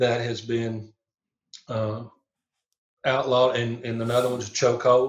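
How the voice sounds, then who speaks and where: A man with a Southern US accent speaks at a medium pitch in a flat monotone, leaving long, frequent pauses. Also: moderate pace. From Tennessee. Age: 60s. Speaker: police chaplain and minister. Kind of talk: podcast interview. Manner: halting, many fillers.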